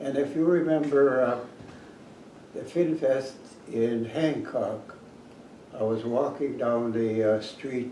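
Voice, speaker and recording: A man at medium pitch with ordinary pitch variation, talking very slowly with long, frequent pauses over noticeable background noise. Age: 80s+. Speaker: retired academic. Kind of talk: interview answer.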